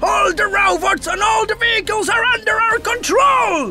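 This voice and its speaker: In a cartoonish character voice, someone shouts at an extremely high pitch and a moderate pace, with clear background noise behind. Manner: manic, boastful.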